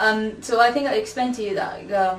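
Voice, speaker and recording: Audible room echo surrounds a woman's voice. She keeps a moderate pace and fairly even intonation. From Peru. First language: Spanish. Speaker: academic researcher. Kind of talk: interview testimony.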